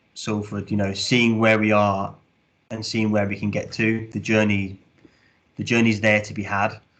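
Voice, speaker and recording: In a Midlands accent, a man speaks at a moderate pace in a fairly low, flat monotone. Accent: Midlands accent, noticeable. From English Midlands, Birmingham. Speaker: sports club commercial director. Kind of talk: podcast interview. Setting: podcast recording.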